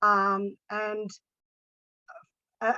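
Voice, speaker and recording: With an Australian accent, a woman speaks in a bright, sharp tone. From Australia, Sydney. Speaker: coaching student and practitioner. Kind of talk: casual testimony in online group session. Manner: halting, many fillers.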